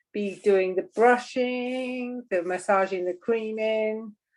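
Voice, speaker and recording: A woman talks with fairly even intonation in a plain, everyday voice. The recording is very clean, with a silent background. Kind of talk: casual conversation.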